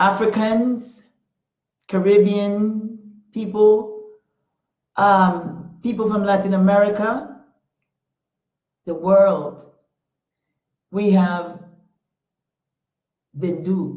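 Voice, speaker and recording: A woman with a Panamanian accent speaks at a very slow pace and medium pitch, somewhat breathy and with fairly even intonation, leaving long, frequent pauses amid audible room echo. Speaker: talk show host. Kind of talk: motivational talk. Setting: Facebook Live stream. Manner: impassioned.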